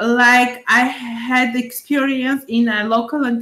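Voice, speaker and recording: A woman with an Armenian accent speaks at a high pitch over noticeable background noise. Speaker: job applicant, English teacher. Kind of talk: job interview. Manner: halting, many fillers.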